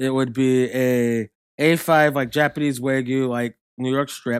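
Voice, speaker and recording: A man's medium-pitched voice in monotone, flat intonation, with a dry, close sound and no echo. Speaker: podcast co-host. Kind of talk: casual banter about wrestling.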